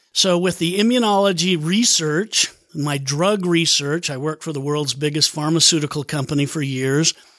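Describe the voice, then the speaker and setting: Recorded very cleanly against a silent background, a man with a fairly high pitch speaks at a moderate pace with ordinary pitch variation in an unremarkable speaking voice. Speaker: health product maker. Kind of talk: casual interview chat. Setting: studio.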